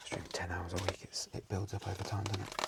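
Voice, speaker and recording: The speaker is soft-spoken. Noticeable background noise is present. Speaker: online card seller and streamer. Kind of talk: softly spoken ASMR talk.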